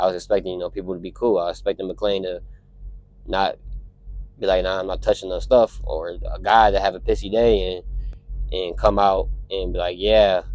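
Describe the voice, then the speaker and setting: A man is speaking. His pace is fairly quick. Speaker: truck driver vlogger. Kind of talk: casual vlog monologue. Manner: halting, self-correcting.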